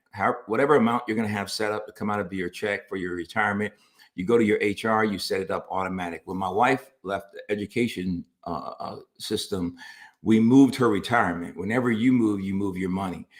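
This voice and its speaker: A man's normal speaking voice, fairly low in pitch, at a fairly quick pace with fairly even intonation, in a very clean recording with a silent background. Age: 50s. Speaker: pastor and family talk show co-host. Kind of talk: casual chat on personal finance.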